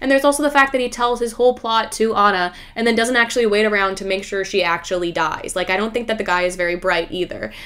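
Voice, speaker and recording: Over noticeable background noise, a woman speaks at a very fast pace with hardly any pauses and ordinary pitch variation. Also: fairly high pitch for a woman. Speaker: YouTuber. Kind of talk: casual monologue video. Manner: talkative, animated.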